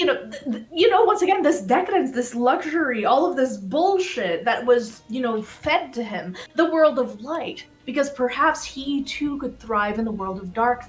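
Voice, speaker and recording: With an American accent, a woman talks at a moderate pace with hardly any pauses. Her high voice swings very widely in pitch and greatly in loudness, over noticeable background noise. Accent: American-sounding, learned. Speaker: fan presenter on a game livestream. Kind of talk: casual livestream presentation.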